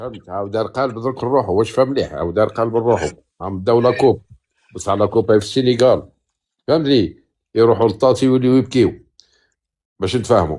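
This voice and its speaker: Speaking at a fairly quick pace with long, frequent pauses, a man has a dark, mellow tone and ordinary pitch variation. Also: medium pitch for a man. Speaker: caller. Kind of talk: casual chat.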